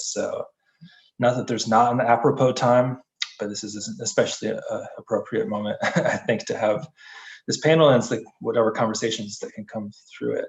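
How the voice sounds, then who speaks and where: A man is speaking. He goes at a moderate pace. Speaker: committee member moderating a panel. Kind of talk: community meeting panel introduction.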